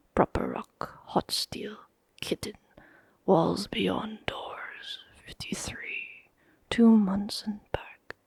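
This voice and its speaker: A woman whispers at a very slow pace with long, frequent pauses and big swings in loudness. The sound is dry and close, with no echo. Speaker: ASMR reader. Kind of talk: audiobook reading of a fantasy story, close-mic ASMR. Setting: close microphone. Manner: soft-spoken, ASMR whisper-like.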